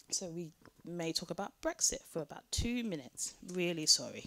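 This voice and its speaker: Her tone bright and sharp, a woman with a British accent speaks at a moderate pace. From Britain. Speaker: panel speaker on gender and online violence. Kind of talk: conference talk.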